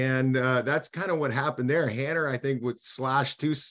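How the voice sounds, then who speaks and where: A man with a medium pitch talks at a fairly quick pace. His intonation is fairly even, and there is noticeable background noise. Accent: Canadian prairie. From Saskatchewan, Canada. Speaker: former hockey player, radio analyst. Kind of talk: casual interview. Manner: hesitant, many fillers.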